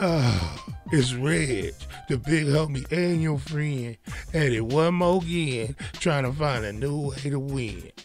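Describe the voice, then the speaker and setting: A man talks at a very slow pace with ordinary pitch variation. His voice sounds dry with no echo, and music is clearly heard in the background. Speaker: podcast host. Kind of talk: casual vlog chat. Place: home room. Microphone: studio mic.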